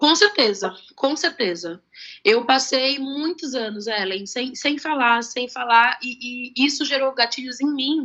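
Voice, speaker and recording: Here a woman's voice sits high in pitch with lively intonation. She speaks at a fairly slow pace. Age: 20s. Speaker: adoptee sharing her story. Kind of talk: interview on live stream. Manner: halting.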